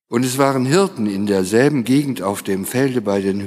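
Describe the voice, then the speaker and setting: A man talks in a plain, everyday voice at a fairly slow pace. His pitch variation is ordinary. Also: very clean recording, silent background. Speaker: lector. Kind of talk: scripture reading aloud in a service. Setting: church.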